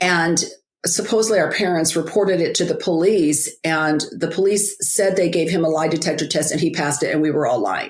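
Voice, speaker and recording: An ordinary speaking voice moves at a fairly quick pace with ordinary pitch variation and very even loudness, on a very clean recording with a silent background. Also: woman, fairly low pitch for a woman. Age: 60s. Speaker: author and biblical life coach. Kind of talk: interview, personal testimony. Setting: podcast interview.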